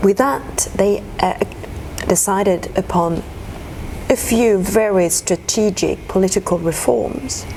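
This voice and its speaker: A woman at medium pitch and a very slow pace, with ordinary pitch variation, very even loudness and noticeable background noise. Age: 50s. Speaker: diplomat. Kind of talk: interview. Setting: ambassador's residence.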